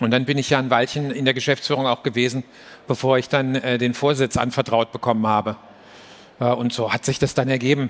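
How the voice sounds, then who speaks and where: A man talks at a fairly quick pace. His intonation is monotone and flat, and his loudness stays very even. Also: medium pitch for a man. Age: 50s. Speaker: business executive. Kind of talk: live stage interview. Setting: stage with audience. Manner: halting.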